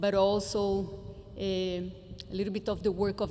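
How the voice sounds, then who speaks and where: A woman speaks at a medium pitch and a moderate pace. Audible echo from the room surrounds her voice. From Brazil, Brasilia. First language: Portuguese. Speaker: education conference speaker. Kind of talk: conference presentation.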